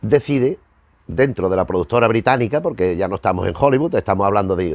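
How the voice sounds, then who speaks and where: A man with a fairly low voice, fairly quick delivery and very wide pitch swings, in dry, close sound with no echo. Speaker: film history youtuber. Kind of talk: casual lecture to camera. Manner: fast; halting, repeats words.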